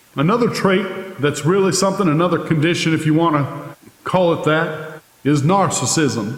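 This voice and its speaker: Noticeable background noise sits behind a man speaking at a high pitch with ordinary pitch variation. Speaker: preacher. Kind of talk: sermon.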